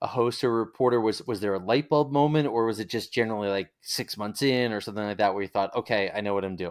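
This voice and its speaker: A man speaks with lively intonation and a slight Long Island accent. The recording is very clean, with a silent background. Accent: faint Long Island. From Long Island, New York. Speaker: interviewer, radio alumni. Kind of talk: interview.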